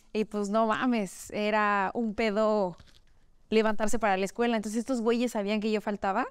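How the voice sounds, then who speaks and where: A woman's monotone voice, flat in intonation, against a quiet background. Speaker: children's party clown and entertainer; guest. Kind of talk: casual chat. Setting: studio. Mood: relaxed, joking, candid. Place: home room.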